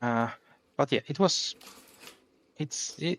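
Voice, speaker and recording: A man with a non-native accent at a very slow pace, dry and close with no echo. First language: not English. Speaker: gaming youtuber. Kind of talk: let's play commentary. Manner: halting, many fillers.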